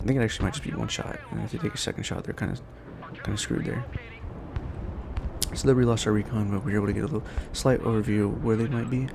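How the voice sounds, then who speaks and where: Amid noticeable background noise, a man at medium pitch talks at a very fast pace with fairly even intonation and long, frequent pauses. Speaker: gaming YouTuber. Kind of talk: gameplay commentary. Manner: casual, with fillers and restarts.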